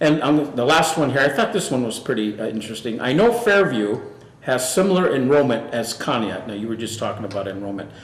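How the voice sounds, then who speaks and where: A man with an American accent and medium pitch talks at a fairly quick pace with lively intonation, with noticeable background noise and audible room echo. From northwestern Pennsylvania. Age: 60s. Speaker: local TV talk show host. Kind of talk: casual interview.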